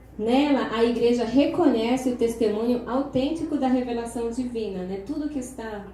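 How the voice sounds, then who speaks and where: Over noticeable background noise and audible room echo, a woman speaks at a fairly slow pace with a high pitch and ordinary pitch variation. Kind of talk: lecture.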